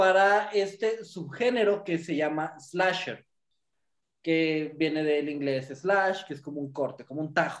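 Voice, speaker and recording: A man's intonation is lively while his pace stays very slow. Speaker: podcast co-host. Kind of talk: casual chat.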